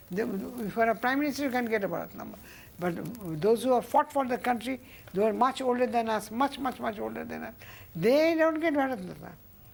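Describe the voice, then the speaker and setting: A woman speaks at a very fast pace with lively intonation. Her fairly high voice carries vocal fry. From India, Bengal. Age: 80s+. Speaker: interview guest, elder recounting family history. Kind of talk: interview storytelling. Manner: halting, searching for words.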